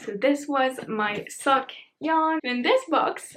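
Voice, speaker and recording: High in pitch, a woman speaks in a French accent. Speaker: knitting vlogger. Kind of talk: casual chat. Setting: home, candlelit room.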